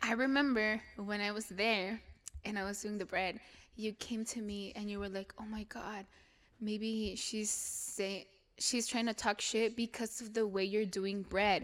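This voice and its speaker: Fairly slow speech in a Mexican accent, with monotone, flat intonation. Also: woman, fairly high pitch for a woman. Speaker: podcast host. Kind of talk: casual chat. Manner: casual, laughing.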